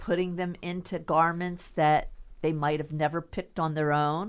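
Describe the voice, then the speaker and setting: With a Philadelphia accent, a woman speaks at a fairly low pitch and a fairly slow pace. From Philadelphia, US. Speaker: stylist and fashion designer. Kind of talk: radio interview.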